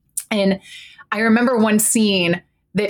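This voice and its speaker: At a moderate pace, this person talks in a normal speaking voice. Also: woman. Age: 40s. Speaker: therapist and podcast host. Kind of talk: casual chat.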